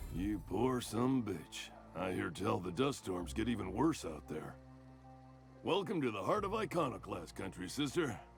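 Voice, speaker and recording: Over clear background music, a man drawls in a put-on character voice, pitched fairly low and moving at a moderate pace. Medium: video game. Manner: folksy drawl.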